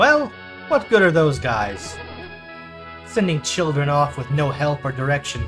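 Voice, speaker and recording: Music plays in the background as the speech moves at a fairly slow pace with long, frequent pauses. The pitch swings very widely. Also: man. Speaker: let's play gamer. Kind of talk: game commentary narration. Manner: stumbling over words.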